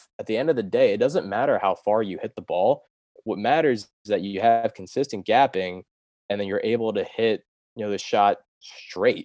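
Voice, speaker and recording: Heard in a dry, close sound with no echo, a man with an American accent talks at a moderate pace. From US Mid-Atlantic, Delaware. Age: 20s. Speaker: podcast intern, amateur golfer. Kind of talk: casual interview chat.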